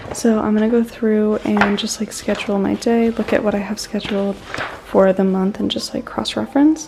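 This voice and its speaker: Over noticeable background noise, a woman speaks with an American accent at a fairly high pitch. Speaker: personal trainer. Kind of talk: casual vlog. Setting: at home.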